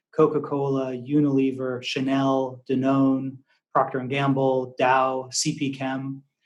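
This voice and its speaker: A man speaks with an American accent. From US Northeast, Massachusetts near Boston. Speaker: investment firm founder. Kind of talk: podcast interview. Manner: hesitant, many fillers.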